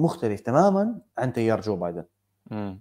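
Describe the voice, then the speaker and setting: The speaker is a man. Behind him the background is quiet. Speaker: podcast co-host. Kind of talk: casual chat. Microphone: earbuds.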